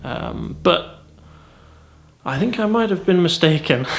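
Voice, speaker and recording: In a room with audible echo, a man speaks at a moderate pace with a northern English accent. His pitch swings very widely. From northern England. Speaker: vlogger. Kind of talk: casual vlog talk. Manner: hesitant, with fillers and repetitions.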